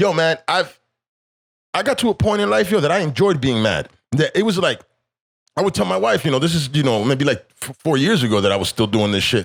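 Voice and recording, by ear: Vocal fry and big pitch swings mark this fairly quick speech on a very clean recording with a silent background. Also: man, fairly high pitch for a man.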